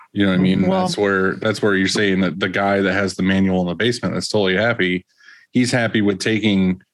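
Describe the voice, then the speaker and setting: Against a quiet background, a man with a very deep, low pitch talks very fast in a monotone, flat intonation. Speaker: podcast co-host, print shop worker. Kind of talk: casual banter podcast chat. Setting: video call. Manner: profane, joking.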